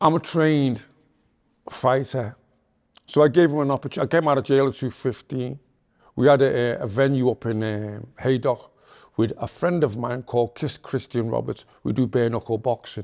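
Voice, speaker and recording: On a very clean recording with a silent background, a man with a Liverpool accent talks at a moderate pace in a medium-pitched voice. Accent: Scouse (Liverpool). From Liverpool, England. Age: 60s. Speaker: reformed gangster turned preacher. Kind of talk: podcast interview. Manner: animated.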